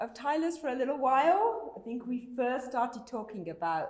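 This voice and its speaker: With a British accent, a high-pitched woman speaks at a moderate pace with very wide pitch swings, and audible room echo is present. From Britain. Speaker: conference speaker. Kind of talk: conference talk.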